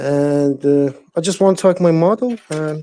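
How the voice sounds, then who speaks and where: Dry and close with no echo, the recording has a man speaking with a non-native accent. His pitch is fairly high with ordinary variation, and his pace is fairly slow. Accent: non-native English speaker. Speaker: trader. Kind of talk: live audio chat question. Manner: halting, many hesitations.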